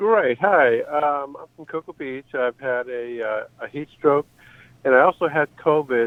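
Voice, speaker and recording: Speaking at a fairly slow pace, a man with a fairly high pitch shows big swings in loudness and ordinary pitch variation. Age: 60s. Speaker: caller. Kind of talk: phone call question. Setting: phone call. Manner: halting.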